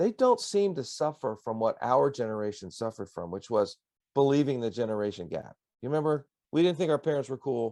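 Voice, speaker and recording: Speaking at a fairly quick pace, a man uses an unremarkable speaking voice with a fairly high pitch and lively intonation. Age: 60s. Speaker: pastor and songwriter. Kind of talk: interview. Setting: radio broadcast.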